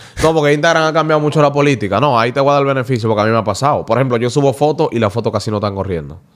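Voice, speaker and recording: A man speaks at a medium pitch with ordinary pitch variation. He goes very fast, at a very even loudness, with hardly any pauses. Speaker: radio presenter. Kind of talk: casual chat.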